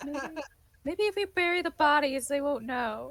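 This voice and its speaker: A female-sounding voice performs a put-on character voice. Its pitch is high, and the pace is moderate. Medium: actual play.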